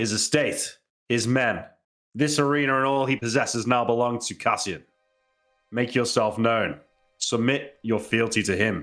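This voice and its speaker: A man puts on a booming character voice at a medium pitch and moderate pace, with music in the background. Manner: booming, commanding.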